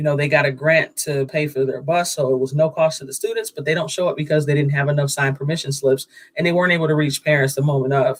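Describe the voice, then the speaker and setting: A man's somewhat breathy, fairly high-pitched voice at a very fast pace, with fairly even intonation and hardly any pauses. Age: 40s. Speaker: startup founder and museum sales coordinator. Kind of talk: pitch interview on a livestream.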